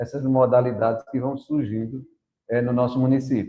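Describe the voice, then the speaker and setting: Delivering his words at a moderate pace, a man keeps a medium pitch and a monotone, flat intonation. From Brazil, Paraíba sertão (Princesa Isabel). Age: 60s. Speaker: teacher and runner. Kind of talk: podcast interview.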